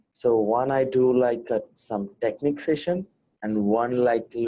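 This man speaks with an Indian accent. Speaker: MMA fighter. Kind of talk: interview. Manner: hesitant, many fillers. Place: home room. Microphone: earbuds.

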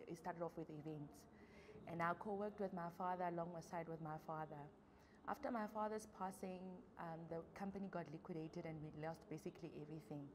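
A woman talks at a fairly quick pace with fairly even intonation and a fairly low pitch. Noticeable background noise runs beneath her. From South Africa, Free State. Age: young. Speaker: small business owner. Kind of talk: interview testimony. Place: studio.

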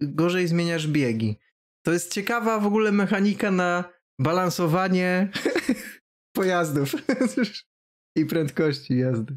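Fairly slow speech in a Polish accent, with long, frequent pauses and a quiet background. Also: man. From Poland. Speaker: game streamer. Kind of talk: casual chat. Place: home room.

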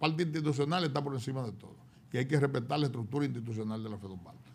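A man talks at a very fast pace with a fairly high voice. His pitch varies in an ordinary way while his loudness swings widely. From Dominican Republic. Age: 70s. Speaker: former basketball federation president; guest. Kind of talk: interview. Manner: halting. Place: studio. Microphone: studio mic.

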